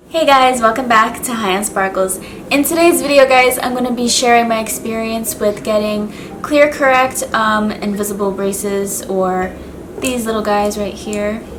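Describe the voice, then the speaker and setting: A woman's fairly high voice at a moderate pace, ordinary pitch variation, noticeable background noise and audible room echo. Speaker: beauty and lifestyle vlogger. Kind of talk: casual vlog talk to camera. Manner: casual, filler-heavy.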